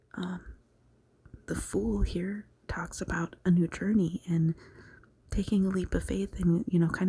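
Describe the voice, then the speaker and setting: A woman whispers in a soft-spoken way. Her pace is fairly slow. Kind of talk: tarot reading. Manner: whispered, soft-spoken.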